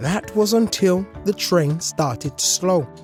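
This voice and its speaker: Over music in the background, the speaker goes at a very slow pace. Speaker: storyteller. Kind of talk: children's story read-aloud.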